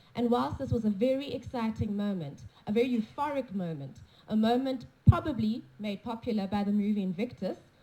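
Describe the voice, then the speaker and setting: Talking at a fairly quick pace, a woman with a dark, mellow, somewhat breathy tone shows ordinary pitch variation. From South Africa. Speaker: conference speaker. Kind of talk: conference talk with consecutive interpretation. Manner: unscripted, off the cuff.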